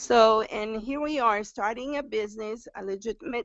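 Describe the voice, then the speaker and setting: A woman speaks with a strong Brazilian accent and ordinary pitch variation. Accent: heavy Brazilian Portuguese. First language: Portuguese. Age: 50s. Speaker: new direct sales recruit. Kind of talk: testimony on a group live stream. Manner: halting, with fillers and repetitions.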